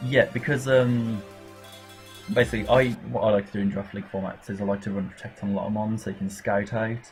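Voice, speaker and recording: A man with an English Midlands accent speaks at a very fast pace in a fairly low voice with ordinary pitch variation. Noticeable background noise runs underneath. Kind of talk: casual gameplay commentary. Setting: home recording with laptop fan noise. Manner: hesitant, stumbling over words.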